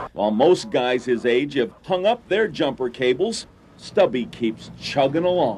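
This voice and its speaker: A man speaks at a medium pitch and a fairly slow pace, his voice creaking with vocal fry as his pitch swings very widely. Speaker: TV feature reporter. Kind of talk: TV news feature narration.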